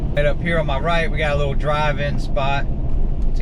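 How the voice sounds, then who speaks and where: A man is heard over noticeable background noise, with audible room echo in the space. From US South, North Carolina. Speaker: driving vlogger. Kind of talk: casual driving commentary. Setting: in a car. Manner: relaxed, conversational. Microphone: built-in camera mic.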